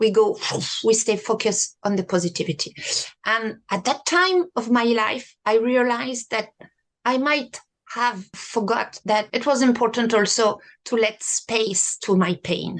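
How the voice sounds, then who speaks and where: In a French accent, a woman talks at a fairly slow pace in a fairly high pitch with ordinary pitch variation. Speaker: sophrology practitioner. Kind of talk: interview conversation.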